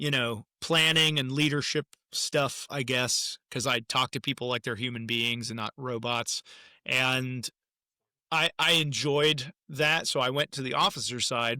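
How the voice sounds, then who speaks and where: Heard at a fairly slow pace, a man has a medium pitch, fairly even intonation and a bright, sharp tone. The recording is very clean with a silent background and a dry, close sound with no echo. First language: German. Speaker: musician and army veteran. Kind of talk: interview. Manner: halting.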